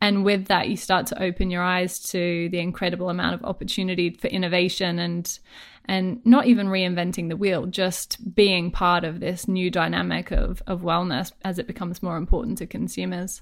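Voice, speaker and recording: Speaking with an Australian accent, a woman with a medium pitch and vocal fry keeps a moderate pace with hardly any pauses and fairly even intonation. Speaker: wellness entrepreneur and business coach. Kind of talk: interview conversation.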